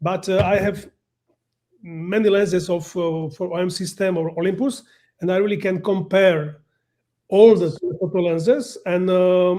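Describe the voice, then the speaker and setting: This man has a non-native accent and a high pitch for a man, speaking at a moderate pace. His intonation stays fairly even. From Slovakia. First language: Slovak. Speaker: professional photographer. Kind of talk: presentation. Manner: halting.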